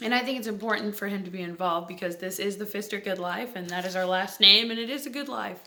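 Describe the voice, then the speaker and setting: A woman talks at a very fast pace with hardly any pauses, her tone bright and sharp, her pitch varying in an ordinary way, with audible room echo. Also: medium pitch for a woman. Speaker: vlogger. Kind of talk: casual vlog talk to camera. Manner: voice spikes and vocal tics from Tourette's; halting, with fillers and self-laughter.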